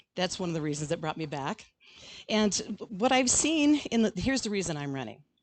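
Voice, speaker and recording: A woman with an Inland Northwest US accent at a moderate pace. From Idaho (Grangeville). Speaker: school board candidate, retired teacher. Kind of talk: candidate forum speech.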